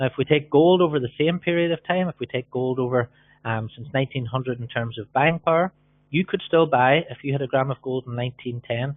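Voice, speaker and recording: Fairly quick pace and ordinary pitch variation. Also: man, medium pitch for a man. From Ireland. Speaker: business opportunity presenter. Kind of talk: webinar sales presentation. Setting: live webinar. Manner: fast.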